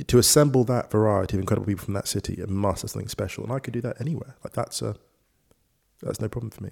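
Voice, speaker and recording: Speaking at a very fast pace, a man with a fairly low pitch shows vocal fry and ordinary pitch variation. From Ugandan heritage. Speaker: writer and football presenter. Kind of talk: casual chat over drinks.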